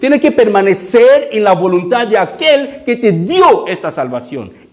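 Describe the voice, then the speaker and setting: This man has a non-native accent and talks at a fairly slow pace. His pitch swings very widely. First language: not Spanish (speaking Spanish). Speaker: pastor. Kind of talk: sermon. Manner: halting, with frequent fillers and repeats.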